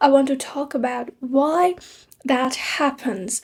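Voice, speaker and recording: In a non-native accent, a woman speaks at a fairly slow pace. Her voice is high in pitch with a dark, mellow tone. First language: not English. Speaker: English learning youtuber. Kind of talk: tutorial.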